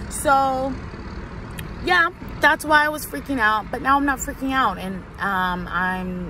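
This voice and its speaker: There is noticeable background noise and audible room echo. Through it, a woman talks at a fairly slow pace. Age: 20s. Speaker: vlogger. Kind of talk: personal video diary. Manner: animated.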